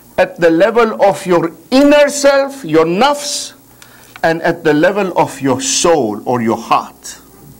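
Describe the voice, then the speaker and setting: Over noticeable background noise, a man speaks at a high pitch with very wide pitch swings. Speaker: religious lecturer. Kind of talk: religious lecture. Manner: slow, deliberate.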